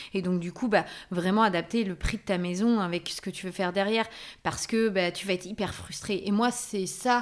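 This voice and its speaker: A woman with an unremarkable speaking voice, medium pitch, fairly even intonation and a moderate pace, on a very clean recording with a silent background. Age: 30s. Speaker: content creator, former pediatric nurse. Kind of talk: casual interview.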